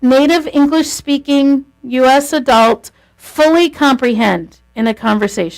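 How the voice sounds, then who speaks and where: Her tone animated and her intonation lively, a woman talks at a high pitch. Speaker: lecturer on marriage communication. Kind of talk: lecture.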